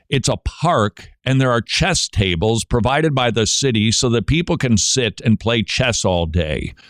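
A man with an unremarkable speaking voice and medium pitch uses lively intonation at a moderate pace, his loudness very even, in a dry, close sound with no echo on a very clean recording with a silent background. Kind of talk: radio show monologue.

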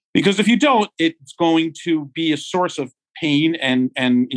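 An ordinary speaking voice from a man with an American accent, fairly slow in pace with lively intonation. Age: 50s. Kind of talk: casual interview. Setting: video call.

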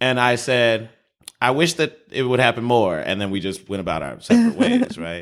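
Using lively intonation, a man talks at a medium pitch and moderate pace. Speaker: podcast co-host. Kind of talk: casual chat. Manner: loud.

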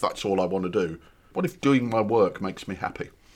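In a plain, everyday voice, a man speaks at a fairly quick pace. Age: 60s. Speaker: actor and writer, podcast host. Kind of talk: casual chat.

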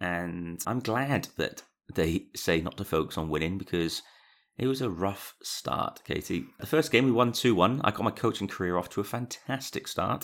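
On a very clean recording with a silent background, a man uses an ordinary speaking voice at a medium pitch, talking at a moderate pace with lively intonation. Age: 30s. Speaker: podcast co-host. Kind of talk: casual chat. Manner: chatty, jokey.

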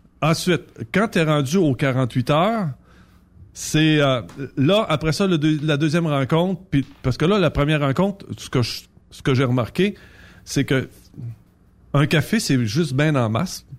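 A man's fairly high voice in a Quebec accent with lively intonation and long, frequent pauses. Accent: Québécois French. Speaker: trucking recruiter and dating guest. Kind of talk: casual chat. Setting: studio.

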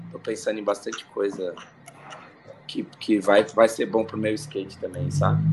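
A man's speech with long, frequent pauses over background music. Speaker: skateboarder and podcaster. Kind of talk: casual chat. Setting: video call from home.

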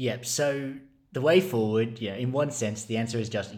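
This man has an Australian accent. His pace is moderate and his pitch varies in an ordinary way. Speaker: ministry resources manager. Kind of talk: podcast interview.

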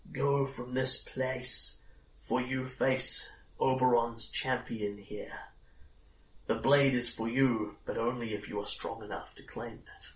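A man in a put-on character voice, fairly slow, with monotone, flat intonation. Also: medium pitch for a man. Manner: solemn, warning.

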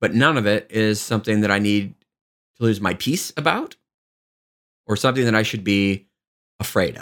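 Fairly low pitch from a man at a moderate pace, with ordinary pitch variation and long, frequent pauses, on a very clean recording with a silent background. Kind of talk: spoken reflection.

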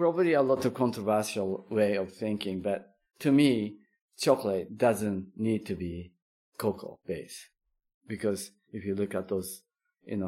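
The recording is very clean, with a silent background. A man with a Japanese accent talks at a moderate pace in a fairly low pitch. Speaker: chocolate maker. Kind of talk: interview. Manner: halting.

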